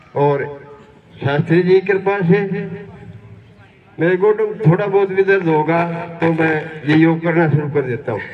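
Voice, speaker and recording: A man with a high-pitched voice speaks with ordinary pitch variation, leaving long, frequent pauses over noticeable background noise. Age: 70s. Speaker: yoga practitioner. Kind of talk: testimony.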